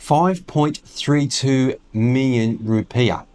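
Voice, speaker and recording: A man with an Australian accent, at a very slow pace and with ordinary pitch variation. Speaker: retiree vlogger. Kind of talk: casual vlog talk. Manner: halting, many fillers.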